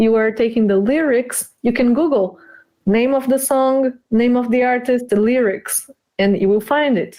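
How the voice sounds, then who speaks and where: In a Portuguese accent, a woman talks at a moderate pace with high pitch and ordinary pitch variation. Her loudness stays very even throughout. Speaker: English teacher. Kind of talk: live stream interview.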